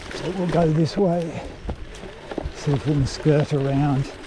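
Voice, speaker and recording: A man speaks against noticeable background noise. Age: 60s. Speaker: e-bike vlogger. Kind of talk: ride-along vlog narration. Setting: outdoors on a bike. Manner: casual, conversational.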